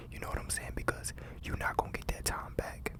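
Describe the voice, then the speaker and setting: Noticeable background noise accompanies a whispered voice. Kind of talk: ASMR motivational talk.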